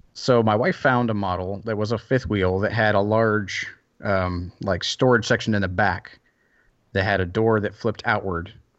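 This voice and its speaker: A man talks in a plain, everyday voice at a fairly low pitch. His intonation is fairly even and his pace moderate. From US South. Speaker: maker and workshop builder. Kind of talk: casual interview.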